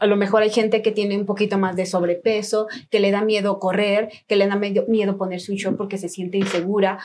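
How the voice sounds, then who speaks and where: A woman talks fairly quickly with hardly any pauses, at a medium pitch and with a monotone, flat intonation, over noticeable background noise. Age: 40s. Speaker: trail runner and running coach. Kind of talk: casual chat.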